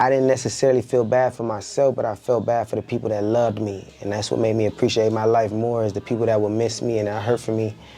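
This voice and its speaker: Over noticeable background noise, a man with an American accent speaks at medium pitch in a monotone, flat intonation. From Compton, Los Angeles. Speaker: entrepreneur and rapper. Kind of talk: casual podcast interview. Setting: studio.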